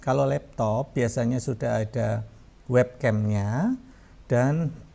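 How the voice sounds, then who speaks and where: A man's dark, mellow tone, very slow delivery and lively intonation. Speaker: university lecturer. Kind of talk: tutorial. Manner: hesitant fillers.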